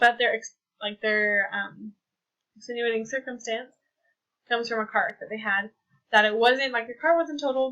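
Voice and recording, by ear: A woman with an American accent speaks at a moderate pace, her fairly high, fairly bright voice keeping a fairly even intonation.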